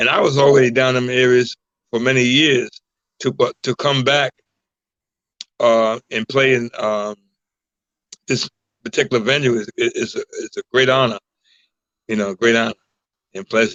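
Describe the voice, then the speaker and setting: A man talks at a moderate pace and medium pitch. His intonation is fairly even, with long, frequent pauses. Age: 60s. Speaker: singer and entertainer. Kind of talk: interview. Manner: halting.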